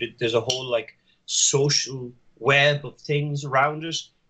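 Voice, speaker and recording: With an Irish accent, a man speaks at a moderate pace in a bright, sharp tone and fairly high pitch. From Ireland. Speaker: podcast guest. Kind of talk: casual chat.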